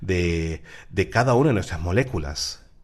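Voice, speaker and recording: Somewhat breathy, the man talks with ordinary pitch variation. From Peru. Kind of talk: radio talk on faith and psychology. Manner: halting.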